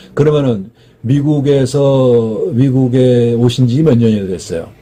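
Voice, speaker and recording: A man talks at a very slow pace in a medium pitch, his voice somewhat breathy. His pitch varies in an ordinary way. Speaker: matchmaking show host. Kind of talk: interview questions.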